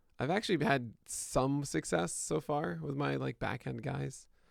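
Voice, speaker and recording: In a very clean recording with a silent background, a man uses a raspy, put-on character voice at a medium pitch and a moderate pace. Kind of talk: radio voice.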